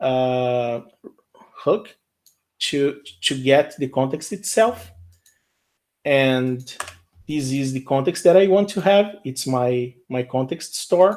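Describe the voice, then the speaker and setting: A man with a Portuguese accent speaks very slowly in a fairly high voice. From Brazil. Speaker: software engineer. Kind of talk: live coding tutorial. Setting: live stream. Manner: halting, with frequent repetitions and fillers.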